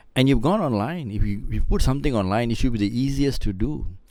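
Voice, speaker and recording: A man's intonation is lively, and his voice carries audible room echo. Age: 60s. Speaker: podcast guest. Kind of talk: casual chat. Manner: halting, frequent repetitions.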